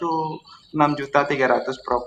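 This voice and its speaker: A man with a fairly high pitch and a Javanese accent. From East Java (Kediri). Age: 30s. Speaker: caller, civil servant. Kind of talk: call-in consultation. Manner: halting.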